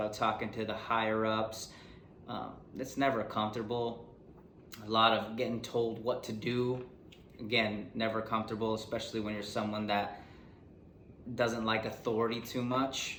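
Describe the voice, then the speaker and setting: A man speaks at medium pitch and a moderate pace in a monotone, flat intonation, with long, frequent pauses, audible room echo and noticeable background noise. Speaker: podcast host. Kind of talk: casual chat. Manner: casual, rambling.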